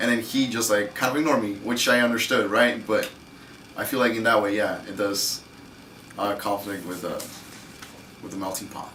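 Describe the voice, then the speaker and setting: A man speaks with a fairly low pitch and fairly even intonation at a moderate pace, leaving long, frequent pauses. The room echo is audible and the background noise is noticeable. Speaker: university student. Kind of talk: casual discussion.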